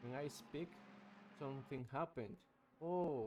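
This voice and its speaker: A man speaks with a non-native accent. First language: not English. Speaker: sim racing commentator. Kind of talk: live commentary. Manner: halting; animated.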